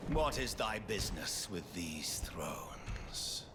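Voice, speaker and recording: A man whispers in a put-on character voice at a fairly slow pace. Loud background noise runs underneath. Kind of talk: archaic regal speech. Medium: machinima. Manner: scornful, grandiose.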